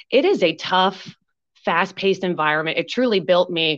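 An ordinary speaking voice from a woman with an American accent, medium pitch, a fairly quick pace, and a quiet background. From Pennsylvania. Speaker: recreational therapist and business owner. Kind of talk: interview.

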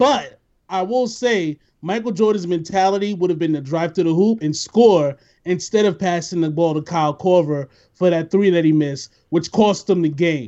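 The man's voice sits high in pitch, moving at a moderate pace with lively intonation. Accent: New York. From New York, the Bronx. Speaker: podcast host. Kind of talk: casual chat. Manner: animated.

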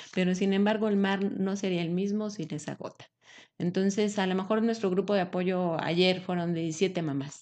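Against a quiet background, a woman with a plain, everyday voice speaks at a moderate pace and medium pitch. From Mexico, Aguascalientes. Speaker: breastfeeding support leader. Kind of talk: interview.

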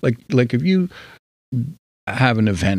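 On a very clean recording with a silent background, a man with a New Jersey accent speaks at a moderate pace with very wide pitch swings. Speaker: podcast guest. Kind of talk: casual chat. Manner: quieter than usual.

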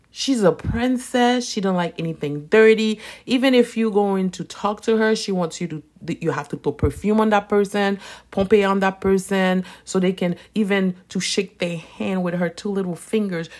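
A woman talks at a moderate pace with a medium pitch and ordinary pitch variation. The recording is very clean, with a silent background. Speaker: Vodou practitioner and soap business owner. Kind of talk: casual unscripted monologue. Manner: conversational, unedited.

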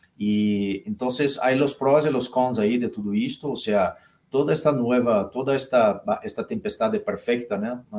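With a Portuguese accent, a man speaks at a medium pitch and a fairly slow pace, his intonation lively. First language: Portuguese (speaking Spanish). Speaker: consulting firm partner. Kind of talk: live interview. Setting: live stream.

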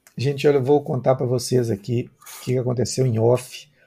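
A medium-pitched male voice, dark and mellow, somewhat breathy, with fairly even intonation. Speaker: journalist and live stream host. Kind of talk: interview.

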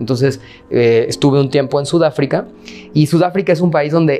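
A man with a Mexican accent, fairly high in pitch, with ordinary pitch variation and noticeable background noise. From Mexico. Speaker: anti-racism activist. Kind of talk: interview. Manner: filler-heavy, hesitant.

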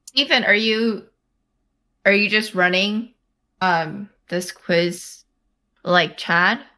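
With an American accent, a woman speaks at a very slow pace and medium pitch, her bright, sharp tone carrying ordinary pitch variation between long, frequent pauses. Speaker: podcast co-host. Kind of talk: casual chat.

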